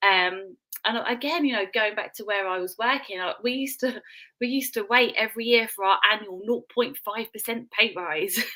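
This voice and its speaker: With a British accent, a woman speaks at a moderate pace in a bright, sharp tone, her fairly high pitch showing ordinary pitch variation. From UK. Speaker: business guest, mum. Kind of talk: casual live stream chat, testimony. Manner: animated.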